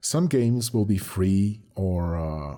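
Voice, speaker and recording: Over music in the background, a man with fairly low pitch speaks with lively intonation. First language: Spanish. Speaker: animator and channel owner. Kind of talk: channel update monologue.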